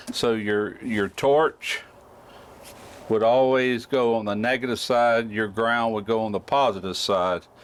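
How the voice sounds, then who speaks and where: Using a normal speaking voice, a man talks at a fairly slow pace with medium pitch and fairly even intonation. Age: 60s. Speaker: welding YouTuber. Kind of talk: tutorial. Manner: casual.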